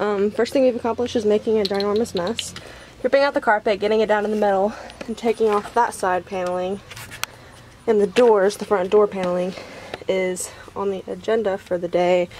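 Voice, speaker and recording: A woman speaking at a fairly quick pace, with fairly even intonation and light background noise. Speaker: vlogger. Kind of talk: casual vlog chat. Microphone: phone near.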